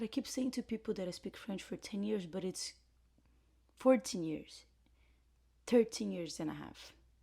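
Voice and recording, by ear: A woman speaks with a Brazilian accent in a dark, mellow tone with vocal fry. Her pitch varies in an ordinary way, and she leaves long, frequent pauses.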